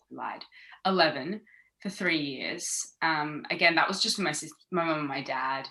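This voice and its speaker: With an Australian accent, a woman speaks at a fairly slow pace in a very deep, low voice that has a bright, sharp tone. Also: ordinary pitch variation. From Australia, Sydney. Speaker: former actress. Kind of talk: casual interview chat. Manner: animated.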